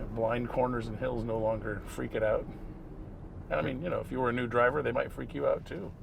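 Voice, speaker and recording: Audible room echo surrounds a man's voice. He talks at a fairly quick pace. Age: 60s. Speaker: Tesla content creator. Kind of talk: casual chat while driving. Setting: in a car.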